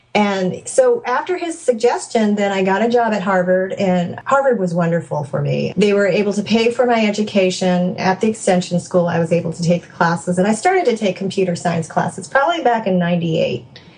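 A woman with an American accent at medium pitch, fairly quick and with hardly any pauses, ordinary pitch variation, noticeable background noise. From California. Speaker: software developer and mother. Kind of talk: interview conversation.

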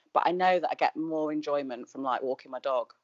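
A woman at a fairly quick pace, her pitch very deep and low. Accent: Mancunian. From Manchester. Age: 40s. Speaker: Instagram influencer. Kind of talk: casual chat.

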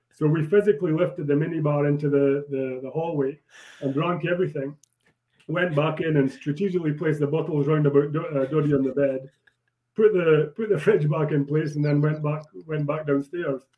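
A man speaks in a Scottish Borders accent at a fairly quick pace. His pitch is fairly high and his intonation fairly even. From Scotland. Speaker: former rugby player. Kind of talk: casual chat. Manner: halting.

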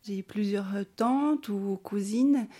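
A woman talks at a fairly slow pace. Her voice is medium in pitch, with a dark, mellow tone. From Bolivia, then Switzerland from age 8. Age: 40s. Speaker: social worker. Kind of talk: personal testimony interview. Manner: hesitant, with frequent fillers.

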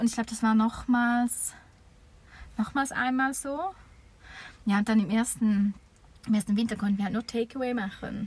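The woman's voice is fairly high-pitched and somewhat breathy. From eastern Switzerland. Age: 30s. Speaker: campsite owner. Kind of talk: interview. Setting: campsite, improvised recording booth.

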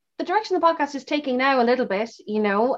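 A woman's Irish accent at a fairly quick pace, with very wide pitch swings. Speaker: podcast host, author and actor. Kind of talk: casual interview.

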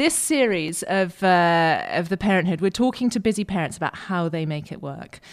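A woman with a British accent speaks at a fairly quick pace with lively intonation, captured on a very clean recording with a silent background. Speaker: podcast host. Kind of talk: interview.

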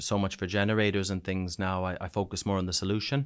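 On a very clean recording with a silent background, a man with a very deep, low pitch speaks with fairly even intonation. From New Brunswick, Canada. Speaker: soldier back from Ukraine. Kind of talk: casual interview, telling war stories. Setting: studio, in-person interview in Bournemouth.

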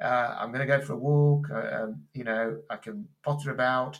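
Somewhat breathy, moderately paced speech from a man with a fairly high pitch. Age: 50s. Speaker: transplant recipient and amateur athlete. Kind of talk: interview. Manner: halting.

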